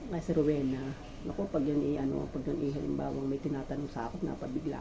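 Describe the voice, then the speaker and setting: Very fast speech comes from a woman with a very deep, low pitch. Noticeable background noise and audible room echo are present. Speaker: vlogger. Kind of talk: casual cooking vlog monologue. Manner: halting, many fillers.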